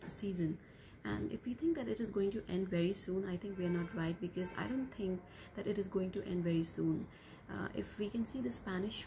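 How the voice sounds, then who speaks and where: With ordinary pitch variation and a fairly quick pace, a woman talks through noticeable background noise. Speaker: vlogger. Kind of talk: casual vlog chat. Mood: calm, concerned. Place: home room. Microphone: phone near.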